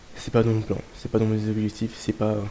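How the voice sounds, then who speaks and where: A man at medium pitch and moderate pace. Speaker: trader. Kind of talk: casual talk to camera.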